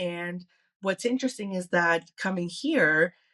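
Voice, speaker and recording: In a Greek accent, a woman with a medium pitch and a bright, sharp tone speaks at a fairly slow pace with ordinary pitch variation, the sound dry and close with no echo against a quiet background. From Canada (born in Athens, Greece). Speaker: consultant. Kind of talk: casual chat.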